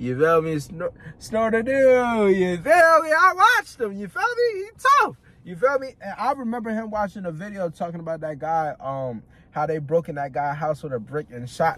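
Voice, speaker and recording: A man with a high-pitched voice speaks with very wide pitch swings and big swings in loudness over noticeable background noise. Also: moderate pace. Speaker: reaction video host. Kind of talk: casual chat. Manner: halting.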